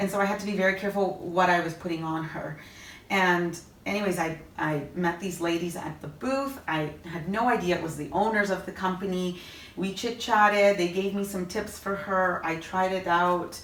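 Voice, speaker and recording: Amid noticeable background noise and audible room echo, a woman speaks at a moderate pace and medium pitch with fairly even intonation. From Canada. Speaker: Instagram influencer and mother. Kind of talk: interview. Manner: loud; chatty.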